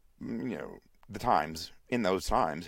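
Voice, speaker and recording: A man with a very deep, low pitch and vocal fry speaks in an American accent. His pace is moderate. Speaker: podcaster. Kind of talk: casual monologue. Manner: halting, many fillers.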